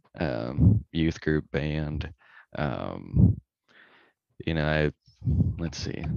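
A man with a very deep, low, dark and mellow voice and vocal fry speaks very slowly with long, frequent pauses, the sound dry and close with no echo. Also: ordinary pitch variation. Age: 20s. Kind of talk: casual interview chat. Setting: phone call.

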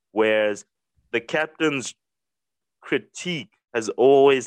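Captured with a dry, close sound and no echo, a man speaks at a very slow pace with ordinary pitch variation. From South Africa. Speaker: cricket podcast co-host. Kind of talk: casual chat.

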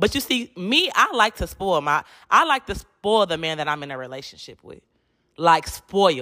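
In a very clean recording with a silent background, a woman speaks in an animated, bright, sharp tone. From Detroit, US Midwest. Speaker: podcast host. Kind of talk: solo casual monologue. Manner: animated, frequent laughter; stumbling over words at times.

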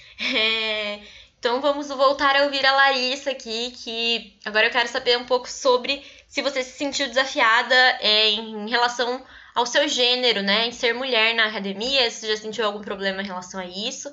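A high-pitched woman at a moderate pace, with fairly even intonation. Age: young. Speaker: anthropologist and podcast host. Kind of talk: interview.

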